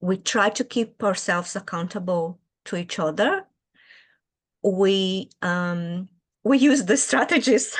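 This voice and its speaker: In a Brazilian Portuguese accent, a woman speaks at a medium pitch and very slow pace with ordinary pitch variation and long, frequent pauses against a quiet background. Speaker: early childhood educator and children's author. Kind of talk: interview. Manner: hesitant, with fillers.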